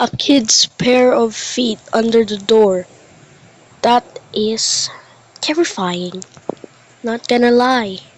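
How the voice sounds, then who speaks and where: Over noticeable background noise, a woman with a fairly high pitch speaks at a very slow pace, leaving long, frequent pauses. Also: ordinary pitch variation. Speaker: reaction youtuber. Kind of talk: casual reaction commentary. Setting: alone in dark bedroom. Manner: quiet.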